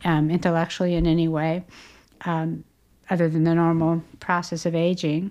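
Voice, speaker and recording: At a moderate pace, the speech comes through on a very clean recording with a silent background. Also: woman. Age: 60s. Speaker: therapist and podcast co-host. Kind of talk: casual chat.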